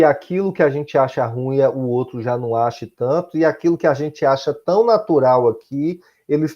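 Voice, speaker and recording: A man with a Bahian accent speaks at a moderate pace. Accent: Bahian Brazilian Portuguese. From Bahia, Brazil. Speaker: high school teacher. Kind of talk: recorded class lesson.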